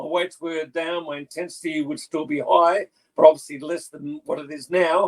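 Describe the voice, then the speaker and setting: Here a man speaks in a high pitch at a moderate pace. The sound is dry and close with no echo. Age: 60s. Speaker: bodybuilder and personal trainer. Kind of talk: casual interview.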